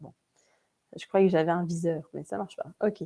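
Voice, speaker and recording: A woman with a Vosges accent, in dry, close sound with no echo. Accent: Vosges (eastern France). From Vosges, eastern France. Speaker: webinar presenter. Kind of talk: webinar presentation. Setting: online webinar. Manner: hesitant, many fillers.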